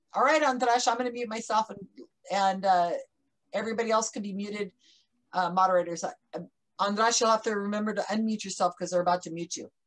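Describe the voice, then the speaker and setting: Against a quiet background, a woman speaks at a very fast pace with long, frequent pauses and big swings in loudness. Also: ordinary pitch variation. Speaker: conference moderator. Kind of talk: casual introduction. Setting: video call. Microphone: earbuds.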